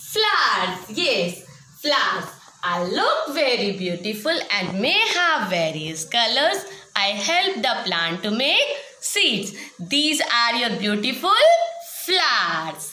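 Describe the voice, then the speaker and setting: A woman with an Indian accent, fairly high in pitch, very slow, with very wide pitch swings and audible room echo. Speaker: school science teacher. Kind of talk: online class lesson for children. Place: classroom. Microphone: phone near.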